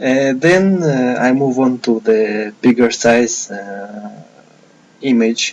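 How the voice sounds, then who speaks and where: A man, using ordinary pitch variation, talks at a very slow pace. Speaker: digital artist. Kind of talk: tutorial. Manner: slow, hesitant with many fillers. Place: home room.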